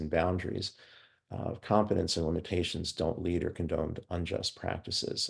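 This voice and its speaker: Speaking at a fairly quick pace, a man with a very deep, low pitch sounds somewhat breathy against a quiet background. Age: 60s. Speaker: forensic psychologist. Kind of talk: lecture. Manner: halting.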